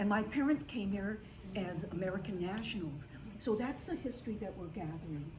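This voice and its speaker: A woman at medium pitch, talking at a fairly quick pace, with audible room echo and noticeable background noise. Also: lively intonation. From US Pacific Northwest, Seattle. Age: 90s. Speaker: community historian and award recipient. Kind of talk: acceptance speech. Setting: stage at awards ceremony. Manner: halting.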